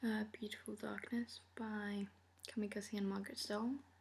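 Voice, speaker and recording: A woman talks in a soft-spoken way. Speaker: book vlogger. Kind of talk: casual chat. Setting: filmed at night at home.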